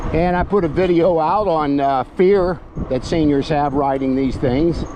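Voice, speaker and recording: Over noticeable background noise with a dry sound and no echo, a man with a fairly high pitch and a relaxed tone speaks at a fairly slow pace with ordinary pitch variation. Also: very even loudness. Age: 70s. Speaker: e-bike reviewer and vlogger; e-bike reviewer. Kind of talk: casual vlog while riding; casual vlog chat. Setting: outdoors on a bike trail. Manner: relaxed, with frequent filler pauses. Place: bicycle.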